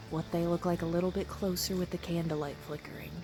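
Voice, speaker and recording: A quiet, very fast woman's voice, fairly low in pitch and monotone and flat in intonation, over music in the background. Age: 20s. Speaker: YouTuber. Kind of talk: casual vlog chat. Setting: outdoors on porch at night.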